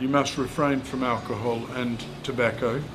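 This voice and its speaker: With audible room echo, a man in an Australian accent speaks at medium pitch and a moderate pace. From rural South Australia. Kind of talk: interview. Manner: halting.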